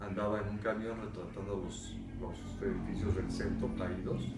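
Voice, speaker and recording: Speaking at a fairly slow pace, a man with a fairly low pitch is heard with audible room echo. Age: 60s. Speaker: architect recalling the 1985 earthquake. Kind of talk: testimony. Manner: halting, with fillers.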